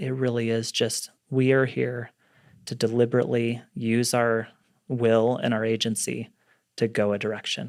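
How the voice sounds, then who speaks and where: A man speaks at a moderate pace and medium pitch with fairly even intonation in a very clean recording with a silent background. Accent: western US. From Utah (Salt Lake City). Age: 40s. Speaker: entrepreneur. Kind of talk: podcast interview.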